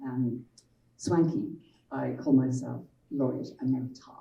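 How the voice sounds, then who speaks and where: A woman with a Dublin accent, her voice carrying audible room echo. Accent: Irish (Dublin). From Ireland, Dublin. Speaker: children's author and publisher. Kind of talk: panel talk.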